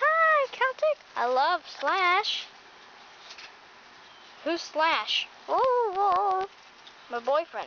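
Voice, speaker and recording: Putting on a squeaky character voice at an extremely high pitch, a woman speaks at a very slow pace with very wide pitch swings and long, frequent pauses, over clear background noise. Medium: solo performance.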